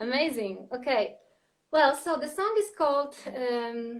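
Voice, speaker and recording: In a Polish accent, a high-pitched woman speaks with lively intonation. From Poland. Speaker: singer-songwriter and creative coach. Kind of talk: interview conversation. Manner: halting, many fillers.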